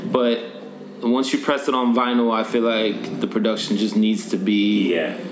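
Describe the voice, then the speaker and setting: With noticeable background noise and audible room echo, a man of medium pitch speaks at a moderate pace with ordinary pitch variation and very even loudness. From Norway. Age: 20s. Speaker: rapper. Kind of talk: casual interview.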